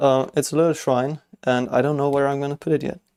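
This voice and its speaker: A man mumbles with a fairly high pitch. His tone is dark and mellow. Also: dry, close sound with no echo. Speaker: LEGO builder streamer. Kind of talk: live stream chat while building. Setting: workshop. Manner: fast; occasionally mumbling.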